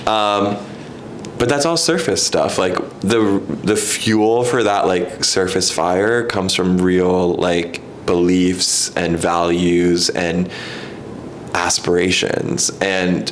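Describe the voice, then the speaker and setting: Against noticeable background noise and audible room echo, a man with an American accent speaks at a very slow pace with a very deep, low pitch, fairly even intonation and very even loudness. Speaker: writer and playwright. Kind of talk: casual chat.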